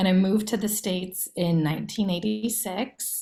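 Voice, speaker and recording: A woman speaks with an American accent in a medium pitch. Her voice is somewhat breathy, with ordinary pitch variation. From US Midwest, Iowa. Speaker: education nonprofit director. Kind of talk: career talk presentation.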